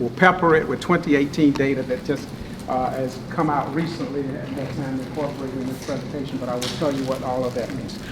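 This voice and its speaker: Talking very fast in a Southern US accent, a man with a fairly high pitch comes through with audible room echo and noticeable background noise. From eastern North Carolina. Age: 60s. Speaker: professor. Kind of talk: lecture. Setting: meeting room with audience. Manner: animated.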